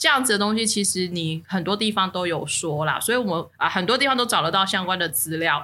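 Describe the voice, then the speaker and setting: A woman at a medium pitch with a bright, sharp, animated tone, lively intonation, a very fast pace and hardly any pauses. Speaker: podcast co-host. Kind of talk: casual chat.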